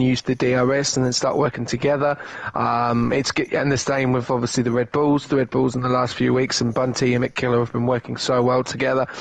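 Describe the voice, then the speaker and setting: Through noticeable background noise, a man with a British accent speaks at a very fast pace and medium pitch, with hardly any pauses, very even loudness and a monotone, flat intonation. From Britain. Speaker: esports co-commentator. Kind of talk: live commentary.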